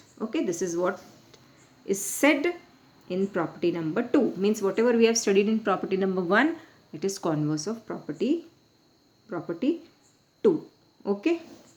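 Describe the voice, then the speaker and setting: Over noticeable background noise, a woman of medium pitch speaks with very wide pitch swings and long, frequent pauses. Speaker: maths teacher. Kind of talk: lecture. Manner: fast.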